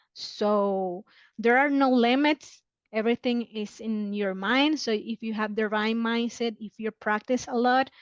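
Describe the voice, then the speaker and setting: With a Spanish accent, a woman speaks at a fairly slow pace and a fairly high pitch, her intonation fairly even. The sound is dry and close with no echo, over a quiet background. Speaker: marketing specialist. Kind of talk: podcast interview. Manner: halting, many fillers.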